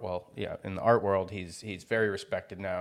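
A man with a normal speaking voice, fairly low pitch, fairly even intonation and a fairly quick pace. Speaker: podcast co-host. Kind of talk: casual chat.

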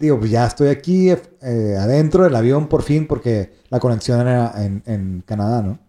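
A man of medium pitch with a dark, mellow tone, lively intonation and a moderate pace. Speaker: traveler recounting a World Cup trip. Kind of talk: casual storytelling chat. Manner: animated, laughing.

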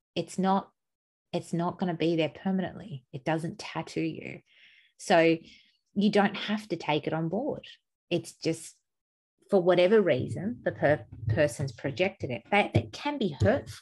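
At a fairly slow pace, a woman with a fairly low pitch and vocal fry swings her voice very widely, pausing long and often. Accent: Australian. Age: 40s. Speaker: podcast co-host. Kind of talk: casual chat.

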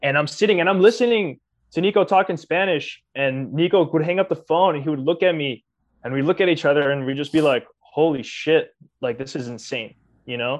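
A man with an American accent and an ordinary speaking voice, fairly high in pitch, with ordinary pitch variation, a fairly quick pace and a quiet background. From US. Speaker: podcast co-host. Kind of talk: casual chat.

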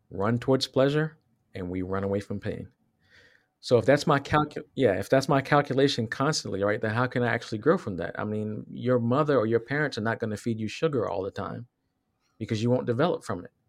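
An unremarkable speaking voice from a man with an American accent, medium in pitch, with ordinary pitch variation and a fairly quick pace, against a quiet background. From Southwest Virginia, US. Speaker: podcast co-host. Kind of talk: casual chat.

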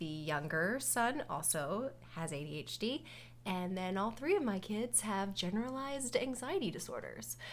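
Showing vocal fry and very wide pitch swings, a woman of medium pitch speaks at a fairly slow pace. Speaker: podcast co-host, dental hygienist. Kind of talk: casual chat. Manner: loud.

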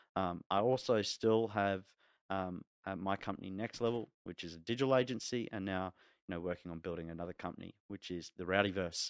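Recorded dry and close with no echo on a very clean recording with a silent background, a man with a New Zealand accent speaks at a fairly quick pace in a very deep, low pitch with fairly even intonation. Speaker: podcast co-host. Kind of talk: casual chat.

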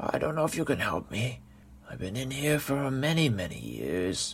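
A raspy, put-on character voice at a moderate pace. Background noise is clearly heard. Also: man, medium pitch for a man. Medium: read story. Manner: terse, urgent.

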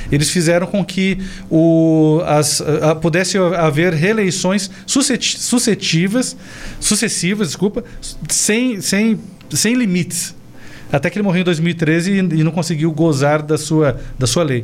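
With noticeable background noise behind him, a man speaks at a fairly slow pace in a high pitch, with ordinary pitch variation and very even loudness. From Brazil, Paraná (Cascavel). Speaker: political commentator, former sales representative. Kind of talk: political talk show discussion. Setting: studio, live stream.

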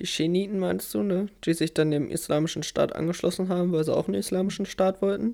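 The recording is very clean, with a silent background. Speech moves at a fairly quick pace. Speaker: podcast host, interviewer. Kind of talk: interview-style casual chat.

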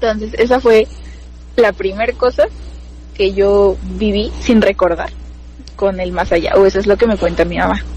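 With noticeable background noise behind her, a woman speaks at a moderate pace, pausing long and often. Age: 20s. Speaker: biology student. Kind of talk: casual chat, telling personal ghost stories.

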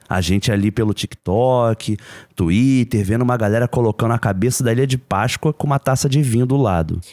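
A man speaks at a fairly quick pace in a plain, everyday voice, medium in pitch with ordinary pitch variation and very even loudness. The recording is very clean and dry, close-miked with no echo against a silent background. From Brazil, Rio de Janeiro. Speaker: podcast co-host. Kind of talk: casual chat.

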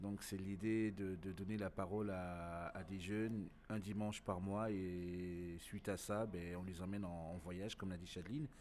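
A man speaks with a very deep, low pitch and fairly even intonation. His pace is fairly slow. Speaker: slam poet and event organizer. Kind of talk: casual interview.

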